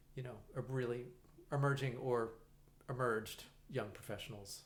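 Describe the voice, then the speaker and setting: Somewhat breathy and monotone, with flat intonation, the voice moves at a fairly slow pace amid audible room echo. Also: man. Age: 60s. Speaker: musician and conductor. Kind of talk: casual interview chat. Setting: in-person podcast recording. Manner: halting, many fillers and restarts.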